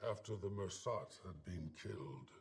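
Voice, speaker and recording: A man performs a put-on character voice. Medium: video game. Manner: measured, deliberate.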